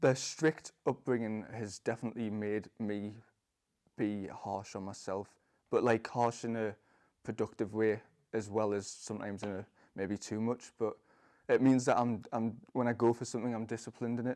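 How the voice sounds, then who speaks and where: A man speaks with a dark, mellow tone and monotone, flat intonation. The recording is very clean, with a silent background. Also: medium pitch for a man, moderate pace. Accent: Geordie. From northern England, Newcastle upon Tyne. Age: 20s. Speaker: parkour freerunner, convert to Islam. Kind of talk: testimony. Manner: halting, many fillers and repeats.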